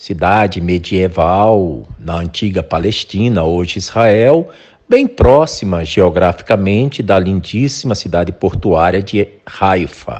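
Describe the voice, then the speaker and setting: Speaking at a very slow pace, a man with a very deep, low pitch uses ordinary pitch variation. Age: 60s. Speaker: podcast host. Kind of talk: interview.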